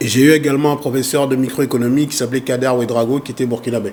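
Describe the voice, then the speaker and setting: Pitched fairly high, a man's voice races along at a very fast pace. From Congo, raised in France. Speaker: foundation president and activist. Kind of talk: interview.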